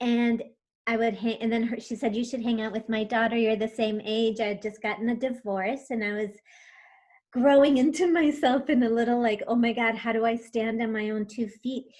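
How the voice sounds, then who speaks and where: Fairly high-pitched woman with an American accent, an unremarkable speaking voice, fairly even intonation and a moderate pace. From USA, Spanish-speaking home. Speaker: tarot reader and coach. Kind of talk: interview.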